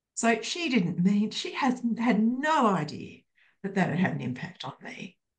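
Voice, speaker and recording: A woman speaks at a fairly slow pace with an Australian accent, fairly high in pitch and with vocal fry. Her voice shows very wide pitch swings and big swings in loudness. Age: 60s. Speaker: counselor and psychotherapist. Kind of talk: casual chat.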